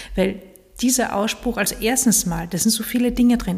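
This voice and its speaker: Breathiness is somewhat present in this voice. Its tone comes across dark and mellow. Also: woman. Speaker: podcast host and coach. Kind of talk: solo podcast monologue. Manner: hesitant with fillers.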